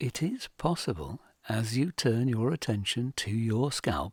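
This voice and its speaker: Over a silent background in a very clean recording, a man talks at a very slow pace with a calm, somewhat breathy tone. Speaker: hypnotherapist. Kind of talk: sleep hypnosis guide. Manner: slow, soft-spoken, calm.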